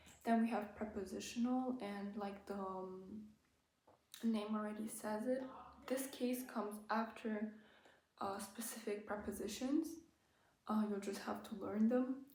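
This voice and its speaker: Somewhat breathy and dark, mellow in tone, a woman's fairly high voice stays monotone and flat against audible room echo. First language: German. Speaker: language-learning YouTuber. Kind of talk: tutorial. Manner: hesitant, many fillers.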